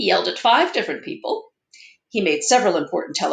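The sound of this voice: Against a quiet background, the reading voice sounds unforced.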